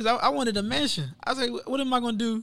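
A man with an American accent, high-pitched for a man, at a very fast pace in a very clean recording with a silent background. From Texas, Matagorda County. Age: 20s. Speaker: college student, former football player. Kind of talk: interview conversation.

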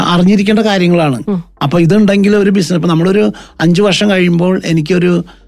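Noticeable background noise sits behind a man with a high voice, very even loudness and ordinary pitch variation. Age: 50s. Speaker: accounting firm managing director. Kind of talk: radio interview.

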